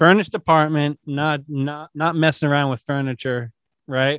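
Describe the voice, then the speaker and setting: This man has an ordinary speaking voice with a fairly high pitch and talks at a moderate pace. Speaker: podcast producer.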